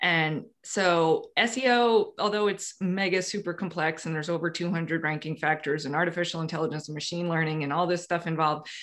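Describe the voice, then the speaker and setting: The speaker has an unremarkable speaking voice and a moderate pace. The background is quiet. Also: woman. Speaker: SEO consultant. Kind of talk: casual interview.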